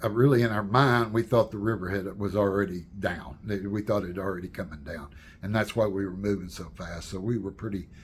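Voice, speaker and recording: A somewhat breathy man with an American accent, fairly low in pitch, at a moderate pace. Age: 70s. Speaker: storyteller and channel owner. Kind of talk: casual personal storytelling to camera. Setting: home, with wife's paintings behind. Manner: halting, many fillers and restarts.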